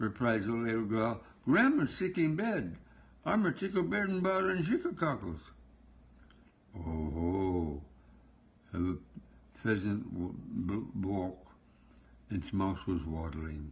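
Somewhat breathy, a man of medium pitch speaks at a fairly slow pace with very wide pitch swings and long, frequent pauses. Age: 80s+. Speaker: storyteller. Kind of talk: read story. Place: home room. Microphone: phone near.

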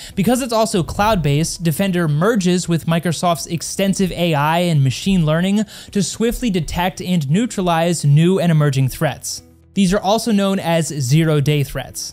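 With faint music in the background, a man with a high pitch talks at a moderate pace with ordinary pitch variation. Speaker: tech reviewer. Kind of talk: review commentary. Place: studio. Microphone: studio mic.

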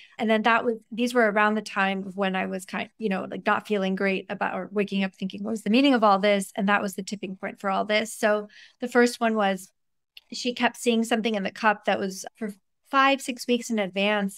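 A woman at a fairly quick pace, with fairly even intonation and a quiet background. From US, of Iranian parents. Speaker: neuroscientist and author. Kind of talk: podcast interview. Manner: candid and conversational, laughs often. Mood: reflective, animated. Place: home room. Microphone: earbuds.

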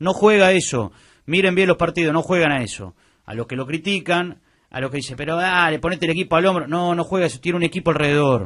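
Over a quiet background, a high-pitched man speaks at a very fast pace in a Rioplatense accent. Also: ordinary pitch variation. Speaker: sports radio panelist. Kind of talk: sports talk radio.

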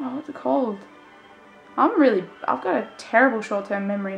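A woman talks at a moderate speed while faint music plays behind her. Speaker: vlogger. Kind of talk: casual vlog chat. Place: home room. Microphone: phone near.

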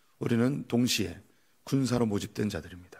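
A man's dark, mellow tone at a fairly low pitch, with ordinary pitch variation and a moderate pace over a quiet background. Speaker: pastor. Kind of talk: sermon. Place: church. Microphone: podium.

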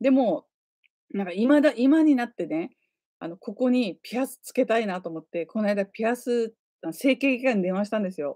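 At a moderate pace, a voice with a dark, mellow tone makes very wide pitch swings, the sound dry and close with no echo. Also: woman. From Nagasaki, Japan. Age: 40s. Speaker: YouTuber and designer. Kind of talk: casual chat. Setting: livestream.

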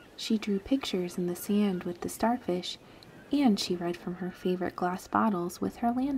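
This is read aloud. It comes in an unforced reading voice.

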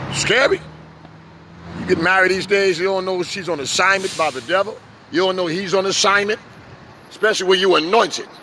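A man with a New York accent talks at a fairly quick pace in a raised, projected voice pitched high, with ordinary pitch variation. His speech has long, frequent pauses, and the sound is dry with no echo over light background noise. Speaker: street preacher and pastor; street preacher, pastor. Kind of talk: sermon. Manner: animated. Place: street. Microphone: handheld.

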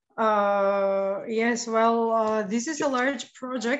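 The background is quiet. The intonation stays fairly even. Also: woman. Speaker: remote guest. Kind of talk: interview answer. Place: home room. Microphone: video call.

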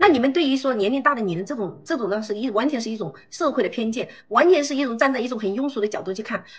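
Speaking at a very fast pace, a woman uses a high pitch. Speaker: guest. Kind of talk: heated argument. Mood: insistent, persuasive. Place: home room. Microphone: video call.

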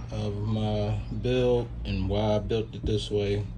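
A man speaks at a fairly low pitch over clear background noise.

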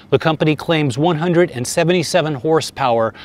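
A man talks with fairly even intonation. The sound is dry, with no echo. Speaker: motorcycle journalist. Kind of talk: review commentary. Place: open country.

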